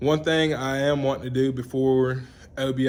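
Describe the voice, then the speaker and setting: A man's shaky voice at medium pitch, in an Alabama accent. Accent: Southern US (Alabama). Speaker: vlogger, truck enthusiast. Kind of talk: casual vlog update. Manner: halting, filler-heavy.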